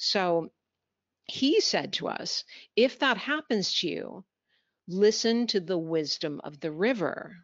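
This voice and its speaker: With a Canadian accent, a woman at a medium pitch speaks at a very slow pace with very wide pitch swings and long, frequent pauses. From Canada. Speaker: business communication trainer. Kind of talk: webinar presentation.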